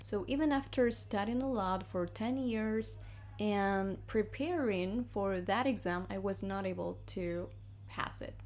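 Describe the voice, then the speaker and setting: Audible room echo surrounds a woman with a Spanish accent speaking at a fairly slow pace. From Argentina. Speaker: English teacher. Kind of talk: casual vlog-style lesson. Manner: conversational, chatty.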